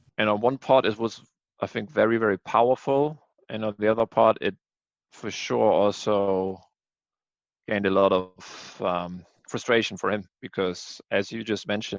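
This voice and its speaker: A man's fairly low voice with a German accent, fairly even intonation, moderate pace and long, frequent pauses. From Germany. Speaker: music podcast co-host. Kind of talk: casual chat.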